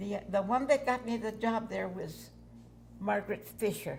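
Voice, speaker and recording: Medium in pitch, this woman's voice carries vocal fry. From New Mexico, near Gallup. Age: 90s. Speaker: retired waitress. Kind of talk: oral history interview. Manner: halting.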